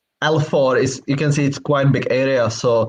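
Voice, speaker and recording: At a moderate pace, a man talks with fairly even intonation, a fairly high pitch and a somewhat breathy voice. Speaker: property sourcing agent. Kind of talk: casual chat. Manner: halting.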